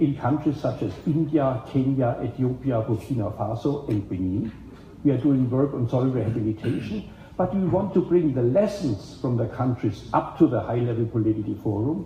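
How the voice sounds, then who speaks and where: Speaking at a moderate pace in a German accent, a man uses a medium pitch and lively intonation, his tone dark and mellow and somewhat breathy. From Germany. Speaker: event organizer and moderator of a policy side event. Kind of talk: opening speech at a panel event.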